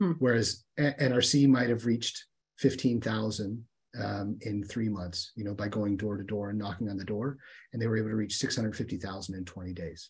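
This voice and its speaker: A man with an American accent speaks at a moderate pace and a fairly low pitch. His voice is somewhat breathy, with ordinary pitch variation. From US Midwest, southern Ohio (Appalachia). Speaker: humanitarian aid worker. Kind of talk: interview. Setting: call.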